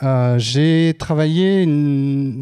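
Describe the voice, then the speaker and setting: In a quiet setting, a man talks with a dark, mellow tone and ordinary pitch variation. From France. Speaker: scholarship association organizer. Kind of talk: presentation. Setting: stage with audience. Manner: halting. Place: stage. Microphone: handheld.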